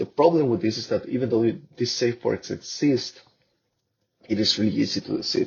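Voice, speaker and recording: A man speaks with a Spanish accent. His delivery has long, frequent pauses. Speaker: researcher. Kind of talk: conference presentation. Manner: halting.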